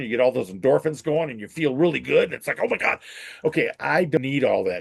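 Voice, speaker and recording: A man talks very fast, his pitch varying in an ordinary way, with a quiet background behind him. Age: 60s. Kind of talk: casual chat. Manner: halting.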